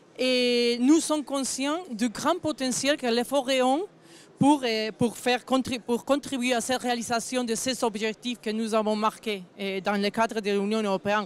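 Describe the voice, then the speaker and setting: A woman speaks at a high pitch. She has a non-native accent. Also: ordinary pitch variation, fairly slow pace. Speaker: forestry association director. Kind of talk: panel discussion. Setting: round table at agricultural fair. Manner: halting, partly read.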